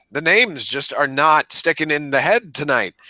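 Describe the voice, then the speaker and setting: Fairly high in pitch, a man's voice makes very wide pitch swings with a bright, sharp tone. The sound is dry and close, with no echo. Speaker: book podcast co-host. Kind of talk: casual chat.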